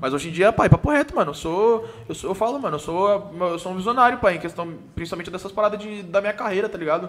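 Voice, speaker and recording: The man talks at a very fast pace, his pitch high and its variation ordinary, with big swings in loudness. Noticeable background noise can be heard. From Brazil, São Paulo state (Sorocaba region). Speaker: funk singer. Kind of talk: casual chat.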